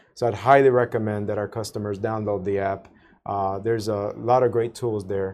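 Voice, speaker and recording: A man with an American accent and a fairly low pitch speaks at a moderate pace in a monotone, flat intonation against a quiet background. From South Florida. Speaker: utility company executive. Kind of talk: interview. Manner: halting, many fillers.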